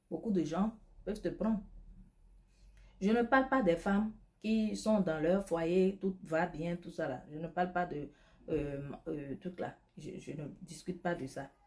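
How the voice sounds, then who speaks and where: Somewhat breathy and fairly low, a woman's voice moves at a very slow pace with long, frequent pauses, big swings in loudness and ordinary pitch variation. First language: not French (speaking French). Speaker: lifestyle advice vlogger and beauty product seller. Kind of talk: advice monologue. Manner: animated.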